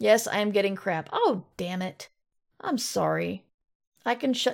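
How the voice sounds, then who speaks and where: A woman's voice with vocal fry on a very clean recording with a silent background. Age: 50s. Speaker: podcast host and fiction author. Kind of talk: casual solo talk with live chat. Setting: live stream.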